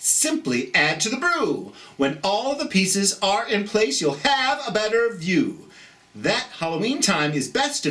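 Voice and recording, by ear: Text is read aloud here in a natural voice.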